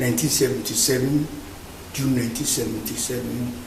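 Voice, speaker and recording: A man speaks with fairly even intonation over noticeable background noise and audible room echo. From Ghana. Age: 80s+. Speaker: immigrant interviewee. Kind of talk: interview testimony.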